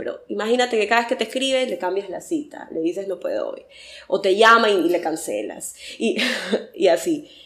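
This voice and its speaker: Lively in intonation, a woman with an unremarkable speaking voice and a fairly high pitch talks at a moderate pace. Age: 30s. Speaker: communications worker and faith content creator. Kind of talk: casual interview.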